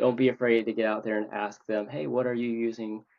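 A man at medium pitch talks with monotone, flat intonation. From US Midwest (Minnesota). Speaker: leather crafter. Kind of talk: casual chat.

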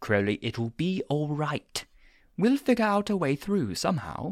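A woman puts on a character voice with a low pitch, big pitch swings, a slightly mellow tone and a fairly slow pace. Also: very clean recording, silent background.

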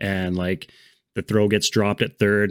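A man with an ordinary speaking voice, fairly low in pitch, at a moderate pace, in a very clean recording with a silent background. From Canada. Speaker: baseball podcast host. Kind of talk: casual chat.

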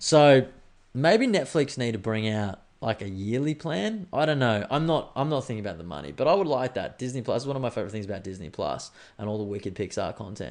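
Against a quiet background, a man at a medium pitch talks at a very fast pace in an animated tone with very wide pitch swings. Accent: Australian. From Australia. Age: 30s. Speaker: podcast host. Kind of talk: casual monologue.

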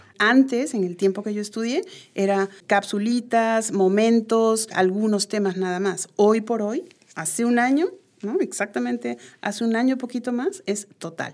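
Recorded very cleanly against a silent background, a woman with a plain, everyday voice and fairly high pitch speaks at a fairly slow pace with ordinary pitch variation. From Peru. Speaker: education researcher and psychologist. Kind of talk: interview. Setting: studio.

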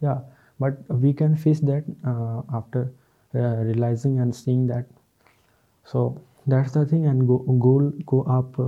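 Pausing often and at length, a man talks with fairly even intonation. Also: medium pitch for a man. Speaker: podcaster. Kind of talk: solo self-help talk. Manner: halting, with many fillers.

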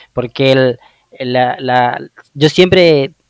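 Recorded with a dry, close sound and no echo, a man at medium pitch speaks with a northeastern Argentine accent. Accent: Argentine Spanish (northeastern, voseo). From Argentina, Misiones (Oberá). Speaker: podcast host. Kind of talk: interview.

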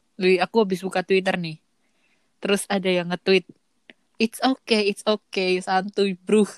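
A woman's medium-pitched, monotone voice at a moderate pace, broken by long, frequent pauses, with a dry, close sound and no echo. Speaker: podcaster guest. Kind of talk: casual chat.

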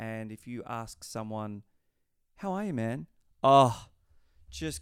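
A man speaks with an Australian accent at a medium pitch, leaving long, frequent pauses. The recording is very clean, with a silent background. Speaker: podcast host. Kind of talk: casual chat.

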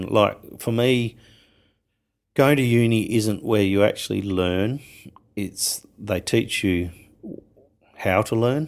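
Speaking very slowly, a man with an Australian accent holds a medium pitch. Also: very clean recording, silent background. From Western Australia. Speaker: winemaker. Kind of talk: interview.

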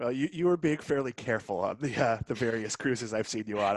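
Here a man has an unremarkable speaking voice at medium pitch with ordinary pitch variation. He goes at a fairly quick pace, and the sound is dry and close with no echo. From Massachusetts, North Shore (Swampscott). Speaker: podcast host. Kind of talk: casual chat.

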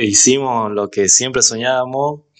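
A man talks at a very slow pace in a monotone, flat intonation. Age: 20s. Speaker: DJ and music producer. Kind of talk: casual interview.

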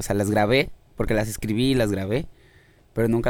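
A man with a fairly low voice speaks in a Mexican accent. His pace is fairly quick and his intonation fairly even. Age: 20s. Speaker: musician. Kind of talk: casual chat.

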